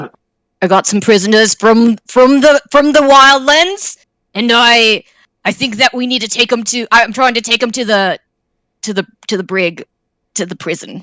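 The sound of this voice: This is a put-on character voice that sounds female, gruff and fairly high-pitched. It moves along at a moderate pace.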